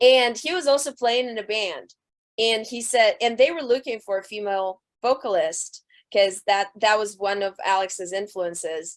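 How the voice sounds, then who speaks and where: A woman in a Russian accent, with a fairly high pitch, ordinary pitch variation and a moderate pace. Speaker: rock band singer. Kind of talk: interview. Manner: loud.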